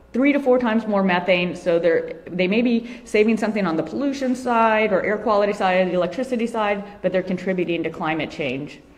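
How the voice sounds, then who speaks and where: A woman at a medium pitch with ordinary pitch variation, talking at a fairly quick pace with hardly any pauses, amid noticeable background noise and audible room echo. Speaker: animal advocacy speaker. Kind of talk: conference talk. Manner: fast; hesitant with many fillers.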